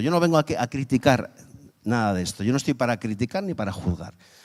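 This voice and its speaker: The man's tone is animated, with very wide pitch swings. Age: 50s. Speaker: guest preacher. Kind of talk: sermon.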